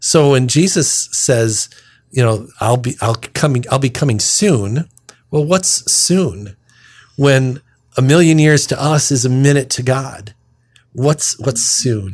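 A man's medium-pitched, somewhat breathy voice at a very slow pace with ordinary pitch variation. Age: 60s. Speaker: deacon and radio host. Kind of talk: radio talk on scripture readings.

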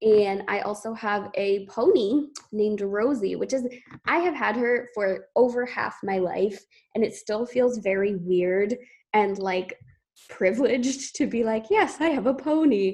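With an American accent, a woman in an ordinary speaking voice speaks at a fairly slow pace, with a fairly high pitch and ordinary pitch variation. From Maine, US. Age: 20s. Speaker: podcast co-host, social work student. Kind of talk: casual chat.

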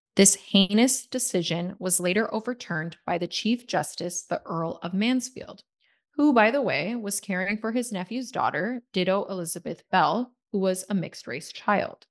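With a Canadian accent, a woman speaks at a moderate pace in a normal speaking voice, medium in pitch with ordinary pitch variation, against a quiet background. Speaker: podcast co-host, social media coordinator. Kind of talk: scripted history podcast narration.

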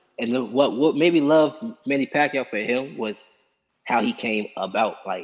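At a moderate pace, a man with an American accent speaks in a normal speaking voice at a medium pitch. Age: 20s. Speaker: amateur boxer. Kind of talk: interview.

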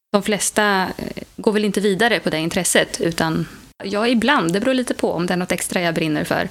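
A woman with an ordinary speaking voice, medium pitch, ordinary pitch variation, and a moderate pace. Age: 30s. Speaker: mother, ufo association member. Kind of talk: interview.

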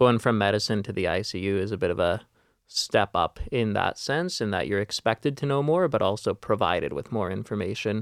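An ordinary speaking voice from a man with a Canadian accent, fairly low in pitch and at a fairly quick pace, in a dry, close sound with no echo and a very clean recording over a silent background. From Vancouver, Canada. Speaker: ICU nurse. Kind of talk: casual chat. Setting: studio.

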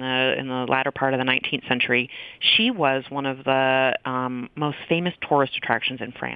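This woman has a very deep, low pitch and an American accent. She talks at a moderate pace. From Maine, US. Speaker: professor and author. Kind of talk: interview.

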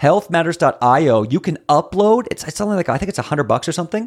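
Here a man speaks in an animated tone. His intonation is lively. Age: 30s. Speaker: natural health coach for bowel disease. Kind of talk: interview.

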